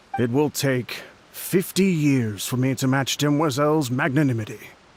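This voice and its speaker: A man's put-on character voice at medium pitch, delivered at a moderate pace. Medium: fan dub. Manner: humble, deferential.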